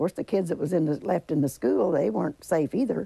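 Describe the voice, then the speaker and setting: With a southern Indiana accent, a woman speaks at a very fast pace with a very deep, low pitch. Her dark, mellow tone carries vocal fry and very wide pitch swings. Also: quiet background, dry sound with no echo. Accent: Southern Indiana rural American. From Griffin, Indiana. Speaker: tornado survivor. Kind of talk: interview answer. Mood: somber recollection. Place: home room. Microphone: lapel.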